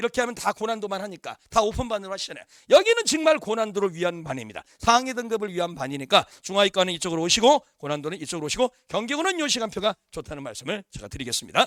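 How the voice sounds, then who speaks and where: Delivered at a very fast pace with hardly any pauses, the speech has very wide pitch swings and big swings in loudness. The sound is dry and close, with no echo. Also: man, high pitch for a man. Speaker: science teacher at a cram school. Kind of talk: info session sales pitch to parents.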